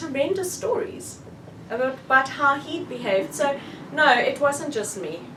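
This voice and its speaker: A woman speaks at a moderate pace with a South African accent, and the recording carries noticeable background noise and audible room echo. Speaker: author. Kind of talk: book launch talk, answering audience questions.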